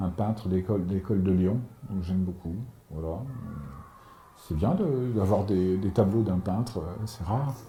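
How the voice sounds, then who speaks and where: A man with a very deep, low pitch talks at a fairly slow pace and ordinary pitch variation. Long, frequent pauses run through his speech. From France, Paris and Normandy. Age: 60s. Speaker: author. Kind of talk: interview. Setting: at home. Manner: halting, many repetitions.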